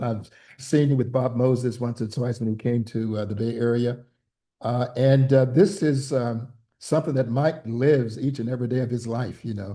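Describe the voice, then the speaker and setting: A man with an American accent speaks at a fairly quick clip in a dark, mellow, somewhat breathy voice, his intonation fairly even. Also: quiet background. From US South, Mississippi Delta (Greenwood). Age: 70s. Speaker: pastor. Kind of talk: panel conversation.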